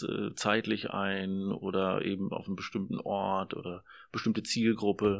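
A man's fairly low voice with vocal fry, monotone and flat, at a moderate pace, in a very clean recording with a silent background. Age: 40s. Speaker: social work student. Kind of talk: interview.

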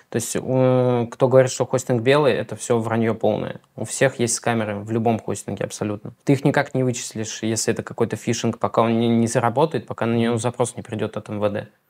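Talking at a fairly quick pace with hardly any pauses, a man keeps a monotone, flat intonation. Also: medium pitch for a man. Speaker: hosting company marketer. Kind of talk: interview.

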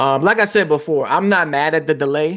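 An ordinary speaking voice with lively intonation moves at a fairly quick pace in a very clean recording with a silent background. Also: man. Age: 30s. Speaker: gaming podcast co-host. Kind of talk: casual chat. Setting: live stream.

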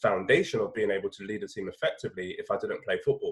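A man is speaking. He talks in a London accent. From London (north-west). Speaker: education business founder. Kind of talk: interview.

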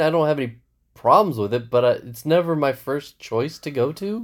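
With a very clean recording and a silent background, a man speaks in a normal speaking voice that is fairly high-pitched, with lively intonation. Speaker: podcast host. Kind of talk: casual chat.

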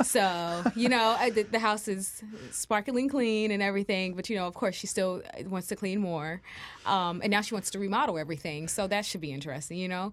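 An unremarkable speaking voice from a woman, medium in pitch with ordinary pitch variation, at a fairly quick pace. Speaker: student co-host. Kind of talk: casual chat. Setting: studio. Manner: giggly.

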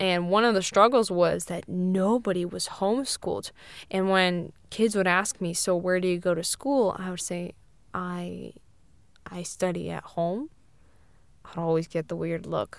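A woman with an American accent speaks at a fairly slow pace in a plain, everyday voice, her medium pitch showing ordinary variation on a very clean recording with a silent background. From Siberia, Russia (American family). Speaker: podcast co-host. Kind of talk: casual chat.

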